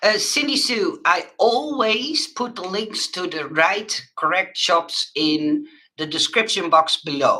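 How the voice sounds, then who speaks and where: A woman with a Dutch accent speaks very slowly in a fairly high voice, her pitch swinging very widely. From Netherlands. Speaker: crafter and online shop owner. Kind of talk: live stream chat with viewers. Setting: live webcam stream. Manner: halting, many fillers.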